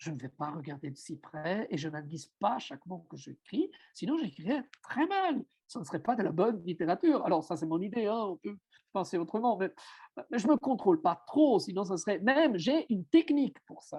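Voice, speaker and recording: At a moderate pace, a man speaks with a high pitch, very wide pitch swings and big swings in loudness, the sound dry and close with no echo. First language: Italian (speaking French). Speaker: writer and self-translator. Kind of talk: seminar talk. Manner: halting, with many fillers.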